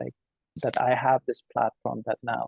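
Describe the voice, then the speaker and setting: Backed by music, a man talks at a moderate pace in a dry, close sound with no echo. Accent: Iranian. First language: Farsi. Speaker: children's author. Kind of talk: webinar interview. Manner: halting.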